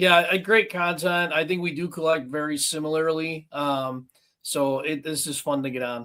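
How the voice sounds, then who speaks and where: This man has a bright, sharp tone and a fairly high pitch, speaking at a moderate pace with fairly even intonation. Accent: Western New York. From Buffalo, New York. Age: 40s. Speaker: collector, police officer. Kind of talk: casual chat.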